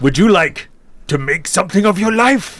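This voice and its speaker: A man's put-on character voice, high in pitch, at a moderate pace. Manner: menacing; slow.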